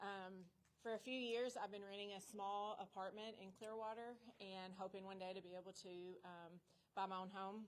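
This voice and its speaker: Her intonation stays monotone and flat. The woman talks at a fairly slow pace. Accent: Kentucky. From Kentucky. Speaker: new homeowner, school employee. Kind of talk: prepared speech read from phone.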